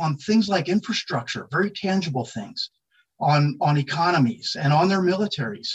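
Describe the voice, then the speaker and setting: A man with an American accent speaks at a high pitch and a moderate pace, with lively intonation. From US Northeast, South Philadelphia. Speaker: army general. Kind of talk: interview. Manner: halting, frequent repetitions; formal.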